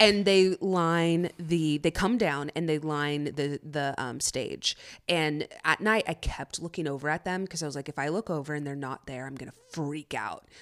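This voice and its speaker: A woman's very deep, low voice at a moderate pace, in a very clean, dry, close recording with a silent background and no echo. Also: ordinary pitch variation, big swings in loudness. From San Diego, moved to Texas at 13. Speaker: actress. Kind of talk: casual chat. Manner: laughing often.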